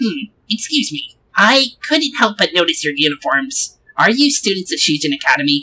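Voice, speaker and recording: This is a put-on character voice with very wide pitch swings. The pace is moderate. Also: female-sounding voice, medium pitch for a woman. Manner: comedic relief.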